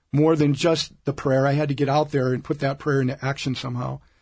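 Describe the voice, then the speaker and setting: Against a quiet background, a man with an American accent sounds somewhat breathy. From US Midwest (Omaha, Nebraska). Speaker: diocesan ministry director. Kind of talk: interview. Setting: studio.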